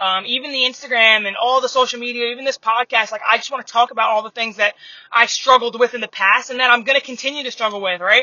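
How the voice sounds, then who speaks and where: This woman talks very fast in a New York accent. Her voice is high, with fairly even intonation. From Long Island, New York. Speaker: basketball coach and former college player. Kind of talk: casual monologue. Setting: in a car. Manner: casual, many filler words. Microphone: phone recording.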